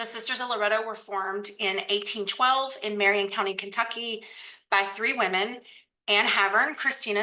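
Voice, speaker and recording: A woman in an ordinary speaking voice talks at a medium pitch with fairly even intonation. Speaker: archive center director. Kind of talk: webinar presentation.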